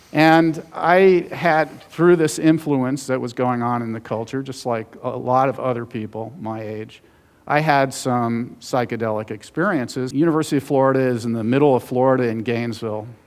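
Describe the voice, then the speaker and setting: A man speaks in a normal speaking voice at a moderate pace with hardly any pauses, medium pitch and ordinary pitch variation, on a very clean recording with a silent background. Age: 60s. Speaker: author and journalist. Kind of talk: conference talk.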